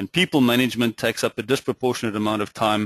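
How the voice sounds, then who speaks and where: A man speaks with a South African accent and fairly even intonation. The sound is dry and close, with no echo. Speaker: finance executive and webinar presenter. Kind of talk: webinar presentation. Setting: webinar.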